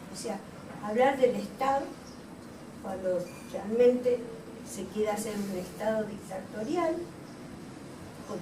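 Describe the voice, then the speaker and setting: Amid noticeable background noise and audible room echo, a woman with a fairly high voice speaks with lively intonation. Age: 80s+. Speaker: panelist. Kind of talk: panel discussion.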